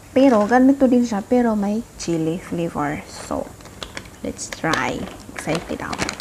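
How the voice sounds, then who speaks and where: Through noticeable background noise, a woman speaks fairly slowly with lively intonation. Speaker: food vlogger. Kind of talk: casual vlog chat. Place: home room. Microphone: phone near.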